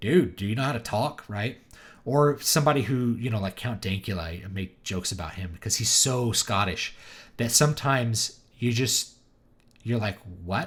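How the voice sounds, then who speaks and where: A man speaks with a somewhat breathy voice and an American accent. The recording is very clean, with a silent background. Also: medium pitch for a man, ordinary pitch variation. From US South. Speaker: author and live streamer. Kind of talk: live stream chat. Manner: animated, does impressions.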